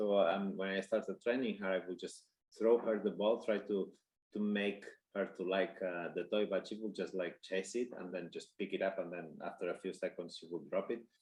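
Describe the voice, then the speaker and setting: At a moderate pace, a man with a Spanish accent talks at a fairly low pitch with fairly even intonation. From Spain. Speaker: dog trainer. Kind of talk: webinar presentation. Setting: online conference. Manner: halting, many fillers.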